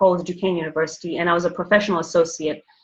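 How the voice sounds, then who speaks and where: A woman with an African accent speaks with fairly even intonation. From Botswana (born Zambia, schooled Zimbabwe). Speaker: banker and finance professional. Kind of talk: interview, personal story. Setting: podcast interview.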